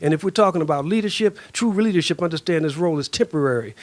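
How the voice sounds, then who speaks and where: A man with a high pitch at a very fast pace, with ordinary pitch variation. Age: 60s. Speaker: community activist panelist. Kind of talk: panel speech. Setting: panel with audience. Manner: forceful, intense.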